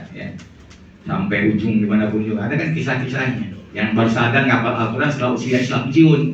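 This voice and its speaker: Very fast speech with noticeable background noise and audible room echo. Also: man, medium pitch for a man, ordinary pitch variation. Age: 60s. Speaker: Islamic lecturer. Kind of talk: lecture.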